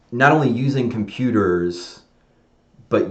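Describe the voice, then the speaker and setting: A man's voice with lively intonation. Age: 40s. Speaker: software designer live streaming; presenter. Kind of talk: casual live stream monologue; casual rambling vlog talk over screen share. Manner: fast; rambling with fillers and restarts. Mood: reflective, candid.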